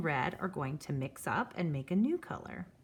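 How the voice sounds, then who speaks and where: Her pitch swings very widely, with vocal fry throughout. The woman keeps a moderate pace. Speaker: art teacher. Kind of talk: tutorial.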